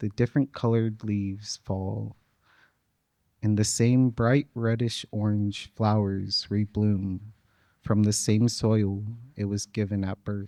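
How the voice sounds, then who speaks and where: Soft-spoken and very slow, this man has a dark, mellow tone and a flat, monotone delivery, recorded dry and close with no echo. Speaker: featured poet. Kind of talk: poetry reading.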